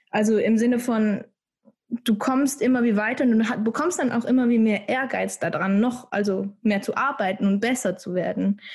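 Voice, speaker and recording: Speaking at a moderate pace, the woman has a fairly high, somewhat breathy voice with ordinary pitch variation. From Switzerland. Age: 20s. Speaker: dancer. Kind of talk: casual chat.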